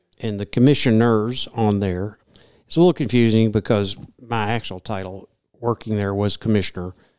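Heard in a very clean, dry and close recording with no echo and a silent background, the dark, mellow voice speaks with a Kentucky accent at a moderate pace and ordinary pitch variation. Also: man, fairly low pitch for a man. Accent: Southern US (Kentucky). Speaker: retired state wildlife commissioner. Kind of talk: casual interview. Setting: studio conference room.

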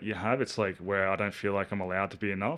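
A man with an Australian accent speaks in a bright, sharp tone. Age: 30s. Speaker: professional basketball player. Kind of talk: casual chat.

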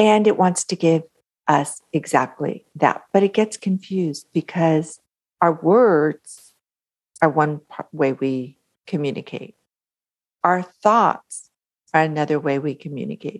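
A woman speaks fairly slowly with a very deep, low pitch and ordinary pitch variation. Long, frequent pauses break up the dry, close sound, which has no echo. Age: 50s. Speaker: author and mindset coach. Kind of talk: interview; guided visualization.

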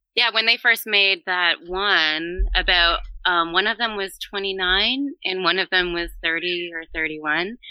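A woman speaks at a fairly slow pace in a plain, everyday voice. Her pitch is medium, with ordinary variation. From Canada, Ontario. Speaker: podcaster guest. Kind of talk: casual chat.

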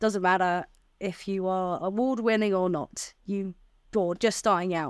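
A woman with a London accent speaks at a moderate pace in a medium pitch, her intonation fairly even, on a very clean recording with a silent background. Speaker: TV editor. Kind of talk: casual chat.

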